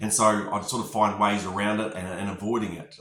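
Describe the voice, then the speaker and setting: In a room with audible echo, a man talks at a fairly quick pace, his fairly low voice keeping a fairly even intonation. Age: 40s. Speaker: construction company manager giving a client testimonial. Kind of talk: testimony. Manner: hesitant, many filler words.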